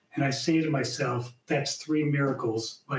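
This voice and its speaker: A man's unremarkable speaking voice, fairly high in pitch, at a fairly slow pace. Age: 60s. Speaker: dentist in recovery, panelist. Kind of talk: panel discussion, personal testimony.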